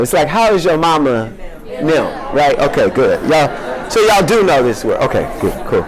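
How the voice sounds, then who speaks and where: A man with an American accent speaks at a fairly quick pace with fairly high pitch, lively intonation and very even loudness. Crowd noise plays in the background, and audible room echo is present. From US South, Louisiana (Shreveport). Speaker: poet. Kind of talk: casual audience chat; poetry reading.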